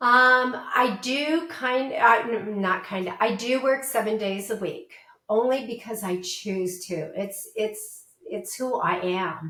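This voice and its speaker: Speech comes at a very slow pace with ordinary pitch variation. Audible room echo surrounds the voice. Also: woman, fairly high pitch for a woman. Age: 60s. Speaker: portrait photographer. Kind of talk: interview.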